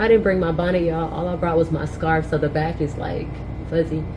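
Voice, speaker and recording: A woman's fairly low voice at a fairly quick pace, with audible room echo and noticeable background noise. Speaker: beauty vlogger. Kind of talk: casual vlog narration.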